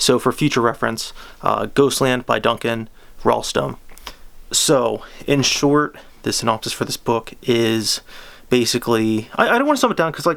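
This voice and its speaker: Long, frequent pauses mark this man's speech. He keeps a moderate pace. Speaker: book reviewer. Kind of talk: casual book review. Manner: halting, many false starts; unscripted, off the cuff.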